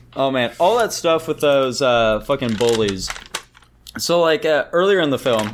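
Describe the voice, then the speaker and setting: A man's fairly high voice, animated in tone, lively in intonation and very even in loudness, at a moderate pace amid noticeable background noise. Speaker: co-host. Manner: animated, profane.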